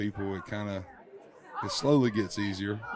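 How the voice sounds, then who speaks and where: Crowd noise sits behind a man speaking in a fairly low voice with a Southern US accent. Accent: Southern American. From Georgia, USA. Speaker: country singer. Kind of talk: interview answer. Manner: casual, relaxed.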